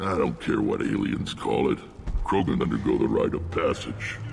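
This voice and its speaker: Clear background noise sits behind a man doing a put-on character voice at a moderate pace and very even loudness. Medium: video game. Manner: gruff, commanding.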